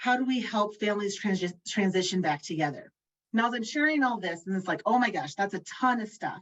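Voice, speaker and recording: Her delivery is fairly quick and somewhat breathy, as this woman speaks with lively intonation. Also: medium pitch for a woman. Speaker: state education family engagement lead, panelist. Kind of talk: webinar panel presentation. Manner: fast; enthusiastic, animated.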